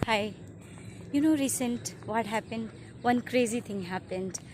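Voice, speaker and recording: This woman has an Indian accent and a fairly high pitch. She talks at a moderate pace with ordinary pitch variation. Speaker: YouTuber, mother. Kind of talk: casual vlog intro.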